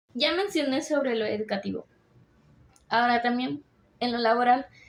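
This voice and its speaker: A woman speaks high in pitch, her intonation lively. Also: moderate pace. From Mexico. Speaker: university student. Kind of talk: class presentation. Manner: hesitant with fillers.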